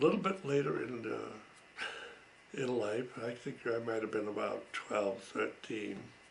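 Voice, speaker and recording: Against noticeable background noise, a man is heard. He speaks at a fairly slow pace. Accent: American. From Massachusetts. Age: 80s+. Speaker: World War Two veteran. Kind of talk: oral history recollection. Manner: slow, hesitant.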